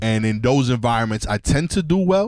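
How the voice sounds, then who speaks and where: Recorded with a dry, close sound and no echo, a man with an American accent talks at a moderate pace. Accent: New York, remarked on by commenters. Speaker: podcast co-host, comedian. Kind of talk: casual chat. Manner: casual, filler-heavy slang.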